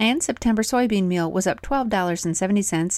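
A woman talks in an ordinary speaking voice at medium pitch with ordinary pitch variation. The recording is very clean, with a silent background. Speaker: dairy news podcast host. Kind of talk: radio-style market report read aloud, rapid dispatch of prices and sale announcements. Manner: brisk, even, businesslike; crisp, rattling off figures in a steady newsreader cadence.

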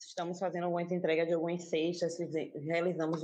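A woman is speaking. Her pitch is fairly low. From Salvador, Bahia, Brazil (Castelo Branco neighborhood). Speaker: community cultural space manager. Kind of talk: casual panel discussion.

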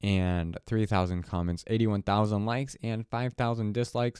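A man's dark, mellow tone on a very clean recording with a silent background. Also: dry, close sound with no echo. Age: young. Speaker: solo podcaster. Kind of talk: casual solo monologue. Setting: home alone late at night. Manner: rambling, halting. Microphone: new audio interface, clean feed.

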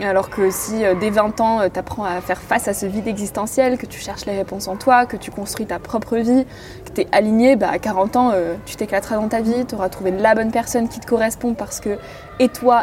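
The voice moves at a fairly quick pace. Noticeable background noise can be heard. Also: woman. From rural France. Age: 20s. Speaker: podcaster. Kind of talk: casual chat. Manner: animated.

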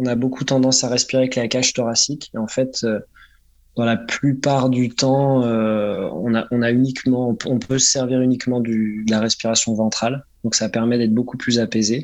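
At a moderate pace, a man speaks at medium pitch with monotone, flat intonation and very even loudness. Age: 30s. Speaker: freediver and sports instructor. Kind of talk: interview. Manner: halting.

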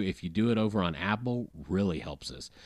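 A man with a fairly low pitch and an American accent, at a moderate pace, in an ordinary speaking voice. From US South. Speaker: podcast guest. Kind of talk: casual chat.

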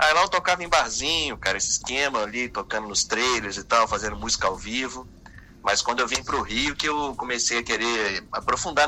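This is a man with an ordinary speaking voice, pitched at medium height. He talks at a fairly quick pace with ordinary pitch variation. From Espírito Santo, Brazil. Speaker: singer-songwriter. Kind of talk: radio interview. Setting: phone call.

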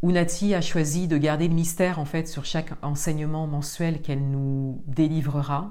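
Her voice is very deep and low for a woman, dark and mellow, with fairly even intonation, moderate pace and hardly any pauses, and room echo is audible. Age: 40s. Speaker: spiritual podcast host. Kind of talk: solo monologue. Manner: halting.

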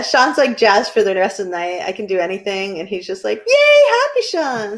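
A woman with a northern New England accent talks at a moderate pace with hardly any pauses and big swings in loudness. Noticeable noise sits in the background. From New Hampshire. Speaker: podcast co-host. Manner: playful, jokey.

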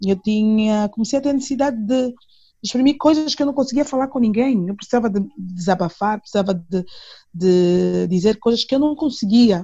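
A woman's somewhat breathy voice, dark and mellow in tone, with lively intonation at a moderate pace. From Angola, Luanda. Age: 30s. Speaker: singer. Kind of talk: interview.

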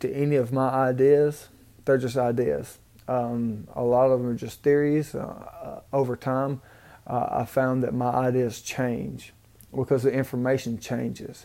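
With a Southern US accent, a man speaks at a fairly slow pace in a medium pitch, his tone dark and mellow and his intonation monotone and flat. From Mississippi, US South. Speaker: podcast host. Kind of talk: solo rambling monologue. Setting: hotel room, recorded on a tablet with earbuds. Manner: rambling, halting, repeats himself, humble.

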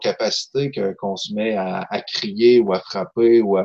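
This man has a normal speaking voice at a medium pitch. He talks at a fairly slow pace with ordinary pitch variation. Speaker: novelist, poet and social worker. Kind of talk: casual chat.

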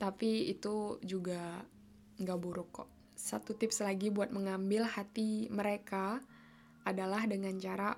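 A woman speaks at a fairly slow pace with a medium pitch and a monotone, flat intonation. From Indonesia. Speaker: podcast host, university student abroad. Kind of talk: casual monologue.

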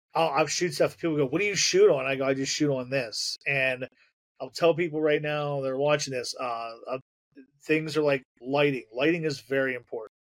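In a plain, everyday voice, a man with an American accent speaks at a fairly high pitch with fairly even intonation. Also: moderate pace. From Pennsylvania, near Harrisburg. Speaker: horror film director. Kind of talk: casual interview chat.

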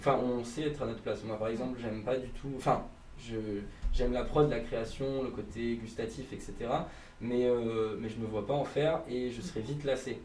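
There is noticeable background noise and audible room echo. A man speaks at a medium pitch with fairly even intonation. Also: moderate pace. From Provence. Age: 20s. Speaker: entrepreneur. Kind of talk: interview. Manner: hesitant, filler-heavy.

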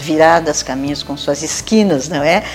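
A woman with a very deep, low pitch talks while noticeable background noise sounds around her. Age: 70s. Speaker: retired teacher and cultural figure. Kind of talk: interview.

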